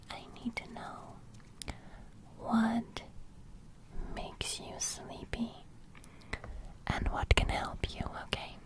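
A woman speaking at a very slow pace, dry with no echo, over loud background noise. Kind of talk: soft-spoken ASMR roleplay. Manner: soft-spoken close-mic ASMR voice. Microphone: studio mic.

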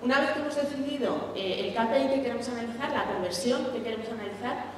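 A woman at a fairly quick pace, amid strong room echo and noticeable background noise. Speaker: conference speaker. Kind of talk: lecture. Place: stage.

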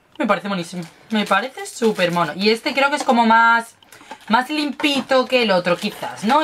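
A woman speaks at a moderate pace in an animated tone, her pitch swinging very widely over light background noise. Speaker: beauty and lifestyle youtuber; lifestyle youtuber. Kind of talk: unboxing and tasting video. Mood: playful, chatty. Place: home room. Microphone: webcam.

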